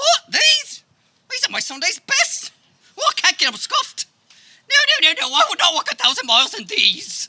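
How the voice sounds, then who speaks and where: An extremely high, put-on character voice leaps through very wide pitch swings at a moderate pace, broken by long, frequent pauses. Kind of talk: comic overacting. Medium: stage play. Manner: rambling, hesitant.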